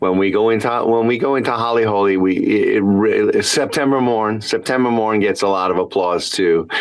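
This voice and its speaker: A man talks at a moderate pace with hardly any pauses, very even loudness and fairly even intonation over noticeable background noise. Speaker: tribute performer. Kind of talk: interview. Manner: halting, many fillers and repeats.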